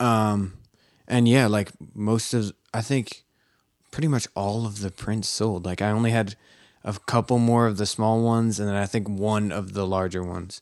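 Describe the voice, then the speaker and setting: A man with an American accent talks in a normal speaking voice, fairly low in pitch with fairly even intonation. His pace is moderate, and the recording is very clean with a silent background. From Philadelphia. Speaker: photographer. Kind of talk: casual chat.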